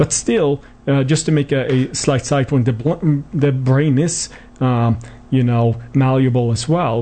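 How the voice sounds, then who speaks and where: A man with a Swedish accent, medium pitch, ordinary pitch variation and a moderate pace. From Sweden. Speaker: clinical psychology professor. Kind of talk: radio interview. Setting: studio.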